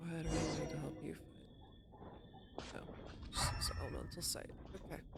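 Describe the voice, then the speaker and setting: A soft-spoken woman talks at a moderate pace with long, frequent pauses, amid noticeable background noise and audible room echo. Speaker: gaming streamer. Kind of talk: casual live-stream chat while gaming. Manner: hesitant, many fillers. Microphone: cheap mic with auto noise reduction.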